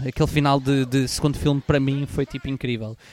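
Here is a man with a European Portuguese accent. His pitch is fairly high. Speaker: podcast host. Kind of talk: casual chat.

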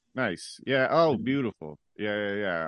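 Against a quiet background, a man with an American accent speaks in a normal speaking voice at a fairly slow pace with lively intonation. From San Jose, California. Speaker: comedian. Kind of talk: casual chat.

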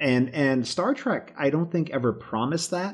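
Lively intonation from a man with an American accent at a moderate pace against a quiet background. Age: 40s. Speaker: guest, Star Trek fan and interviewer. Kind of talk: casual chat.

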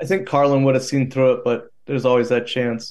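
With fairly even intonation, a man speaks in an ordinary speaking voice. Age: 40s. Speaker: farmer. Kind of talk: casual chat.

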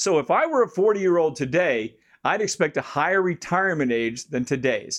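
A man with an American accent uses lively intonation and a fairly high pitch. He talks at a fairly quick pace in an ordinary speaking voice. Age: 60s. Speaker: personal finance show host. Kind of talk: scripted monologue answering listener question.

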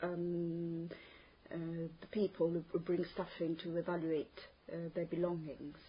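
A woman speaks at a very slow pace, her voice somewhat breathy. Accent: Italian. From Italy, Terni in Umbria. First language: Italian. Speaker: language test candidate. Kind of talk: spoken exam interview. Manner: hesitant, many fillers.

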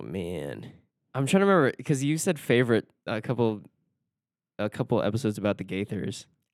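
Speaking at a fairly quick pace, a man shows vocal fry and very wide pitch swings in a dry, close sound with no echo. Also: medium pitch for a man, very clean recording, silent background. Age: 20s. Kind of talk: casual chat.

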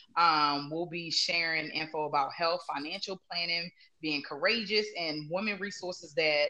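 At a moderate pace, a woman speaks at a fairly low pitch with ordinary pitch variation and an ordinary speaking voice. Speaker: salon owner and stylist. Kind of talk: casual interview chat.

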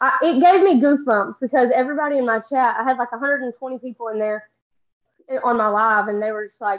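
Talking at a very fast pace, a woman with a Southern US accent uses a fairly high pitch and ordinary pitch variation. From Texas. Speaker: social media comedian. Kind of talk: casual chat. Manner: fast talker.

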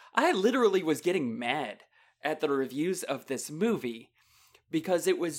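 A man with an ordinary speaking voice and a fairly high pitch talks at a moderate pace with lively intonation, in a very clean recording with a silent background. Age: 40s. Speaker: podcast co-host and voice actor. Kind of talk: casual chat.

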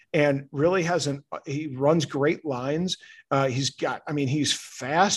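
A man with an American accent, fairly high in pitch, at a fairly slow pace with fairly even intonation. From central Illinois and St. Louis, Missouri. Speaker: rugby commentator and parent. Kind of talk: casual interview. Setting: outdoors at a rugby ground.

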